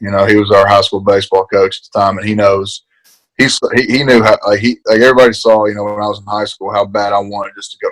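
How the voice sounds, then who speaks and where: A man's very fast speech with an Appalachian accent, fairly low in pitch, monotone and flat in intonation, with big swings in loudness. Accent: Appalachian Southern US. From eastern Kentucky, Appalachia (Paintsville). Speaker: college football player, NFL draft prospect. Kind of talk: interview. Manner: halting, many fillers.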